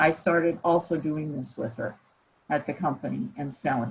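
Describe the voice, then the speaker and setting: Somewhat breathy speech with lively intonation, in an American accent. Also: woman. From US Midwest, Iowa. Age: 60s. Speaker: professor. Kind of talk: guest talk at online camp.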